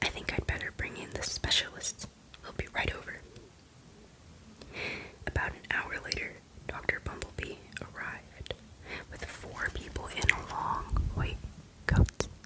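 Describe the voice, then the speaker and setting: A woman whispers at a fairly slow pace, leaving long, frequent pauses. Her loudness swings widely, and there is noticeable background noise. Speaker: ASMR creator. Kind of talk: ASMR book reading of a children's story. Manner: whispered, soft-spoken.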